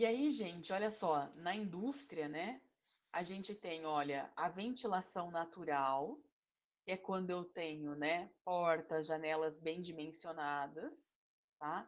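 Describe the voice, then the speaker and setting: A woman with a fairly low pitch and ordinary pitch variation talks at a very slow pace. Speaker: engineering instructor. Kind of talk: online lecture.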